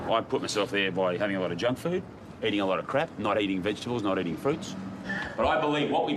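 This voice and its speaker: A man speaks very fast with an Australian accent, his pitch swinging very widely. Noticeable background noise runs underneath. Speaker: documentary presenter. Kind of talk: casual chat; documentary narration. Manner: animated.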